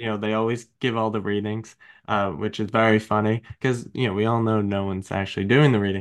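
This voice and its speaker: Talking at a fairly quick pace, a man has a Long Island accent and a fairly low pitch. The background is quiet. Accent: Long Island, New York. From Long Island, New York. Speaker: podcast host. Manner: conversational, casual.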